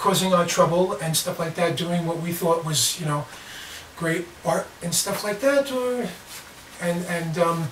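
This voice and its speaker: This man has a high pitch and speaks at a fairly slow pace. Audible room echo and light background noise are present. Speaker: vlogger on self-defence. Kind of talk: casual vlog storytelling. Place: home room. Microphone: camera far.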